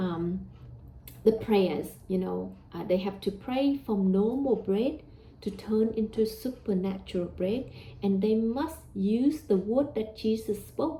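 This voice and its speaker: Speaking with a Vietnamese accent at a very slow pace, a woman uses a fairly high pitch with ordinary pitch variation, a somewhat breathy quality and a dark, mellow tone. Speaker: religious teacher. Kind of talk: religious talk. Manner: hesitant, with fillers.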